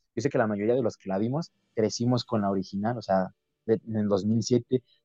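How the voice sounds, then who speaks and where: A dark, mellow tone comes through. The recording is dry and close, without any echo. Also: man. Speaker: podcast host. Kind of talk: casual chat.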